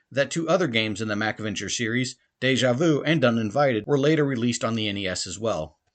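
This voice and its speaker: This man's pitch makes very wide swings. He rushes along at a very fast pace. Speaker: podcast host. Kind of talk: monologue game review.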